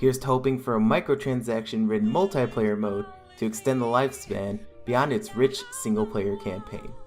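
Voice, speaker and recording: Music runs behind a man's voice. He moves fairly quickly, and his pitch swings very widely. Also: medium pitch for a man. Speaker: video game news host. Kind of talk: gaming news commentary. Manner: nervous-sounding.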